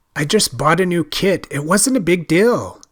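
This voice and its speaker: Doing a put-on character voice, a man speaks at a moderate pace with a high pitch and lively intonation, the sound dry and close with no echo. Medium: read story.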